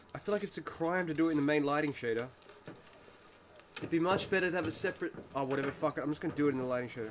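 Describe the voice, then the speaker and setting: A man with a fairly high pitch talks at a very fast pace with ordinary pitch variation and long, frequent pauses over noticeable background noise. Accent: Australian. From Tasmania, Australia. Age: 30s. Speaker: game engine developer streamer. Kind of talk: casual live-stream coding commentary.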